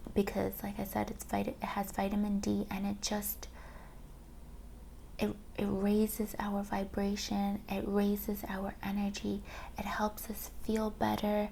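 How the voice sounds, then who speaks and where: Soft-spoken delivery at a fairly slow pace. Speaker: ASMR creator. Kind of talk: soft-spoken ASMR chat. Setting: mini microphone.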